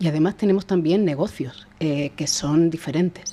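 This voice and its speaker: Speaking at a moderate pace with ordinary pitch variation, a woman talks in a Murcian accent. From Spain, Murcia. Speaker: sustainability director. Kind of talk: podcast interview.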